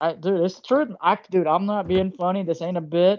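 A Southern US accent at a moderate pace over a quiet background. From US South. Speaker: video channel host. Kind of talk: casual interview chat. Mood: casual, joking. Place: home room. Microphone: video call.

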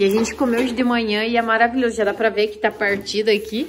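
Some light noise sits in the background. The speaker is a woman. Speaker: travel vlogger filming. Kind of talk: casual vlog chat. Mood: relaxed, cheerful. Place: kitchen. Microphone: phone near.

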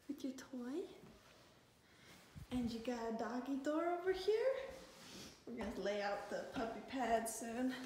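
Amid strong room echo, a woman speaks fairly slowly in a fairly high, slightly mellow voice with big pitch swings and long, frequent pauses.

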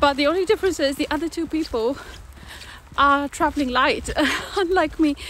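A woman speaks at a high pitch with ordinary pitch variation. The sound is dry with no echo, and there is noticeable background noise. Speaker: solo traveler vlogger. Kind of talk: casual vlog chat. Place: street. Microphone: phone near.

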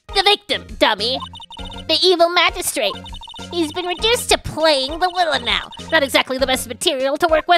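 A shrill, female-sounding put-on character voice at an extremely high pitch and moderate pace, with faint music in the background.

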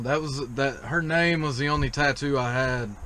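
A man talks at a fairly slow pace with ordinary pitch variation. Light background noise is present. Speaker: truck driver vlogger. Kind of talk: casual vlog chat. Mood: relaxed, easygoing. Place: car. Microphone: phone near.

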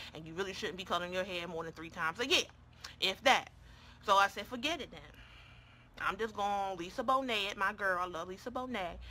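Against light background noise, a woman with a bright, sharp, animated tone speaks at a fairly quick pace, her pitch varying in an ordinary way, with big swings in loudness and long, frequent pauses. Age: 30s. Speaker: beauty YouTuber. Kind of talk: casual makeup tutorial livestream. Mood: playful, chatty. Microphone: phone near.

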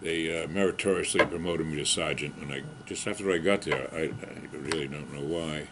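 A man speaks at a moderate pace in a very deep, low voice with fairly even intonation. Loud background noise runs behind him. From Massachusetts, Boston area (Needham); Massachusetts. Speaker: war veteran. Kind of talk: oral history interview. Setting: library. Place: home room.

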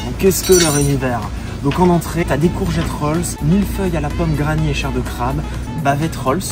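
A man at a fairly quick pace, with clear music in the background. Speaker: food vlogger. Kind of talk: casual vlog chat. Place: cafe.

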